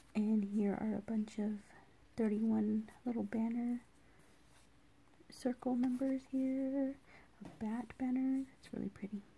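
Very slow pace with long, frequent pauses. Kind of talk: casual vlog chat. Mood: grateful, delighted. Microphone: phone near.

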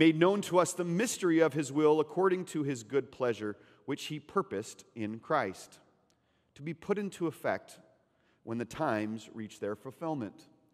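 Against a quiet background, a man speaks at a moderate pace with big swings in loudness. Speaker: pastor. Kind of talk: sermon. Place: church. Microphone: headset.

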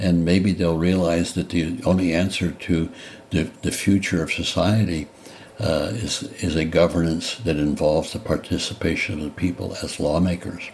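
A man's very deep, low voice at a moderate pace, with fairly even intonation amid noticeable background noise. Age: 80s+. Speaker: former senator, presidential candidate. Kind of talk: interview answer.

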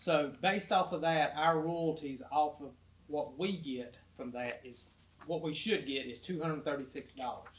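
Using a plain, everyday voice, a man shows ordinary variation in pitch. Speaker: city official. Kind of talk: council meeting discussion.

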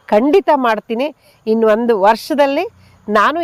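The sound is close and dry, without any echo. A woman talks at a high pitch. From Bengaluru. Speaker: farmer. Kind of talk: interview testimony.

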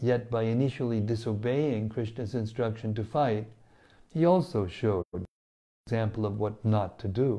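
Over a quiet background, a man with a dark, mellow tone speaks at a moderate pace with ordinary pitch variation. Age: 70s. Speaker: spiritual teacher. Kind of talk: scripture reading with commentary. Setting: studio. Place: home room. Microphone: lapel.

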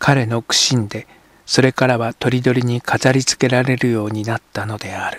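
At a moderate pace and medium pitch, a man speaks in a monotone, flat way, the sound dry and close with no echo. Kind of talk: literary audiobook reading, scripted narration of a translated novel. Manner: steady, measured, even narrator's pace with formal literary diction.

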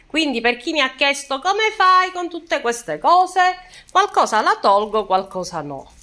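A woman with a bright, sharp tone speaks fairly slowly, her pitch swinging very widely, against a quiet background. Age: 60s. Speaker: lifestyle vlogger. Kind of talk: casual vlog talk to viewers. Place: home room. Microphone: phone near.

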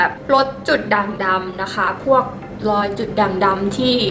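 There is noticeable noise in the background. Over it, a woman talks with ordinary pitch variation. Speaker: beauty vlogger. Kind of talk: casual skincare tutorial chat. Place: home room.

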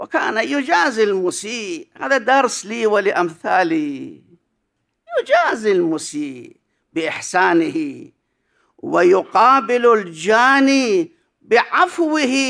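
Delivered at a very slow pace, this voice has very wide pitch swings, a bright, sharp tone, very even loudness and a quiet background. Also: man, high pitch for a man. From Iraq. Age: 60s. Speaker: cleric and seminary professor; seminary professor. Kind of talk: conference paper presentation. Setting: conference hall with audience. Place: hall. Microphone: podium.

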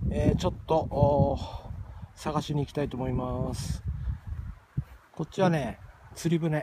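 A man with a Tochigi accent talks at a moderate pace, the sound dry with no echo and loud noise behind him. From Tochigi, Japan. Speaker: outdoor camping vlogger. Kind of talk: casual talk to camera. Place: waterside. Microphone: phone near.

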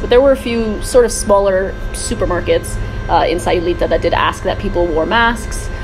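Music plays in the background as a woman talks at a fairly quick pace. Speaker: travel blogger. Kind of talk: casual vlog chat. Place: garden. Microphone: phone near.

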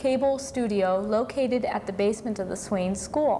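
A woman talks at a moderate pace with ordinary pitch variation. Her tone is dark and mellow, with light background noise. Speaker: cable access station host. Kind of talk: live call-in show host talk. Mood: friendly, upbeat. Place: studio. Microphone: lapel.

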